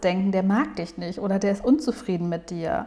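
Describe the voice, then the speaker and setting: A woman talks at a medium pitch and moderate pace. She has a normal speaking voice with ordinary pitch variation. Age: 30s. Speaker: psychologist and podcast host. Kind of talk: casual monologue.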